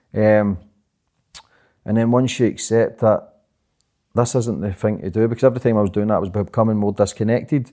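A man with a Glaswegian accent speaks at a fairly low pitch, his tone dark and mellow. He leaves long, frequent pauses, and the recording is very clean with a silent background. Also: fairly quick pace. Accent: Glaswegian Scottish. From Glasgow, Scotland. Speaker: podcaster and documentary maker. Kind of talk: interview conversation. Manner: fast.

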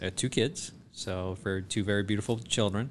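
With an American accent, a man speaks at a moderate pace in an unremarkable speaking voice and fairly low pitch. The background is quiet. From US South, South Georgia. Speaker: foot and ankle surgeon. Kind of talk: casual interview.

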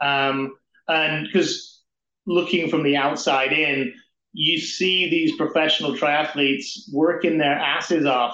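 A man with an English accent speaks at a very slow pace and fairly high pitch. His tone is bright and sharp, with fairly even intonation. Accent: non-North-American, English. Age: 40s. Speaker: amateur triathlete and team development lead. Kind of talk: podcast interview.

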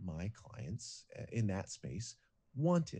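Very wide swings in pitch and a somewhat breathy quality. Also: man. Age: 40s. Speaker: singer turned business coach. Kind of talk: casual interview chat. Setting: video call.

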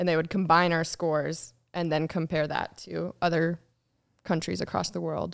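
Recorded very cleanly against a silent background, a woman with an ordinary speaking voice talks at a moderate pace and a fairly low pitch. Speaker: soldier. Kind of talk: casual chat.

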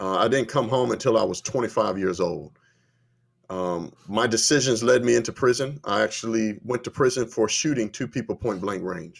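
A man in an unremarkable speaking voice, medium in pitch, with ordinary pitch variation at a moderate pace. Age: 30s. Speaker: conservative activist and entrepreneur. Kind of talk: interview.

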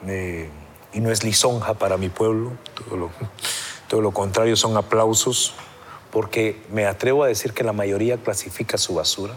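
Against noticeable background noise, a man with a fairly low pitch speaks in fairly even intonation, leaving long, frequent pauses. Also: moderate pace. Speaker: sociologist. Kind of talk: interview.

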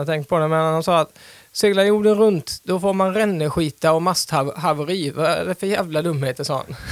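With an ordinary speaking voice, a man of fairly high pitch talks at a moderate pace and keeps his intonation fairly even. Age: 40s. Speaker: sailor, small business owner. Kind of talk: interview. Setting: studio.

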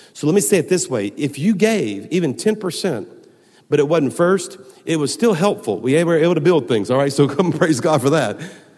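A man speaks in a Southern US accent. His pitch is fairly high, with vocal fry. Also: lively intonation, moderate pace. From US South, Baton Rouge, Louisiana. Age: 50s. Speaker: pastor. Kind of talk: sermon. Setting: church.

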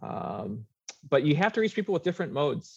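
The speaker talks fairly quickly with an American accent and vocal fry. Pitch varies in an ordinary way, and the sound is dry and close with no echo. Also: man. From Minnesota, US Midwest. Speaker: pollster. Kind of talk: interview.

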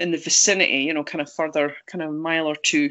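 The speaker talks at a moderate pace in a Scottish accent. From Scotland, Angus. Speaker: Bigfoot researcher. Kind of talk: interview.

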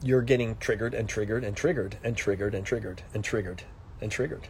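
Medium-pitched, somewhat breathy male speech with ordinary pitch variation. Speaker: life coach. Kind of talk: casual livestream talk. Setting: Instagram live video.

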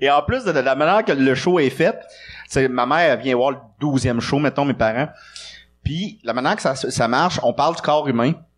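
This man has an unremarkable speaking voice, fairly high in pitch with ordinary pitch variation. He holds a moderate pace at very even loudness. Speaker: comedian. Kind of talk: casual chat. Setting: stage with audience.

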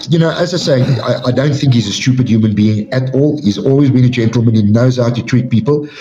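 A man with a South African accent talks at a very fast pace with hardly any pauses. His loudness stays very even and his pitch varies in an ordinary way, with noticeable background noise behind him. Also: medium pitch for a man. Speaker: MMA official. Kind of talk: casual interview.

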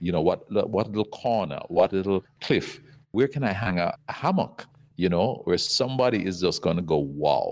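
Speaking at a moderate pace with lively intonation and a normal speaking voice, a man with fairly low pitch is heard on a very clean recording with a silent background. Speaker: resort company executive. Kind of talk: casual interview.

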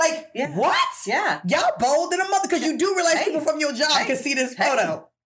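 A woman talks at a very fast pace with hardly any pauses, her pitch high. Her pitch swings very widely while her loudness stays very even. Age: 40s. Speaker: podcast co-host. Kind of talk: casual chat. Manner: animated.

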